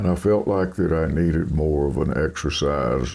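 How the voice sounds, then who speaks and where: A man with a very deep, low pitch talks in a relaxed, dark, mellow tone with vocal fry. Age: 80s+. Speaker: country singer. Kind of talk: interview answer. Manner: relaxed, conversational.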